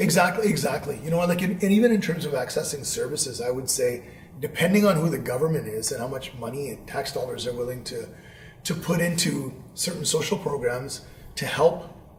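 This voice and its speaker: A man talks at a fairly quick pace with lively intonation and a fairly high pitch. Noticeable background noise runs underneath. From Vancouver, Canada. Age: 40s. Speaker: teacher. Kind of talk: interview answer.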